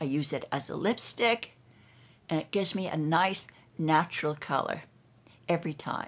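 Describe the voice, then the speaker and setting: On a very clean recording with a silent background, a woman speaks at a fairly slow pace, her fairly low voice marked by vocal fry. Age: 80s+. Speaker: brand ambassador. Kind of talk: beauty routine demonstration to camera.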